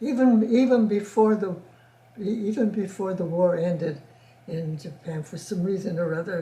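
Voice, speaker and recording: Speaking with an American accent, a woman has a medium pitch and a dark, mellow, somewhat breathy tone. Her pace is moderate and her pitch varies in an ordinary way. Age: 80s+. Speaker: oral history interviewee. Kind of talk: interview answer. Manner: halting, repetitive.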